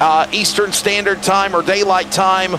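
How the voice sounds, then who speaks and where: A high-pitched man speaks in a raised, projected voice, very slowly and in a flat monotone. Noticeable background noise runs behind him. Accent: American. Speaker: sim racing commentator. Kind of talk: live commentary. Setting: online broadcast booth.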